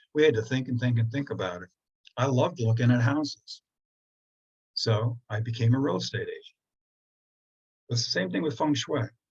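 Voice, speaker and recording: A man talks at a fairly quick pace in a somewhat breathy voice, with ordinary pitch variation and long, frequent pauses. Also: medium pitch for a man. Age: 70s. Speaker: feng shui teacher. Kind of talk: online presentation. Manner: conversational.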